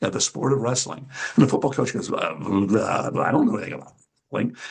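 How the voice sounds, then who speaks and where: A somewhat breathy man at a medium pitch and a very fast pace. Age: 70s. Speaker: retired wrestler and wrestling instructor. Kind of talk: podcast interview. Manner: rambling with many fillers.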